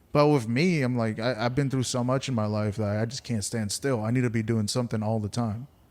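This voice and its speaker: A man with an ordinary speaking voice at a medium pitch, fairly even intonation and a fairly quick pace, in a very clean recording with a silent background. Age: 30s. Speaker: stand-up comedian. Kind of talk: casual podcast interview.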